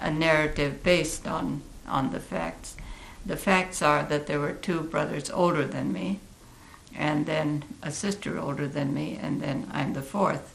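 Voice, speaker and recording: Someone with an American accent talks at a fairly slow pace with ordinary pitch variation. The room echo is audible and background noise is noticeable. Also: woman, very deep, low pitch for a woman. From Oregon, US West Coast. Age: 80s+. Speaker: community elder. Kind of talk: interview.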